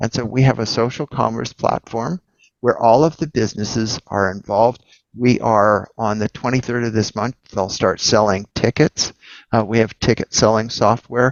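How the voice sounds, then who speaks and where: At a moderate pace, an unremarkable speaking voice holds fairly even intonation. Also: man, medium pitch for a man. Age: 60s. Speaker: entrepreneur and investor. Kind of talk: casual chat.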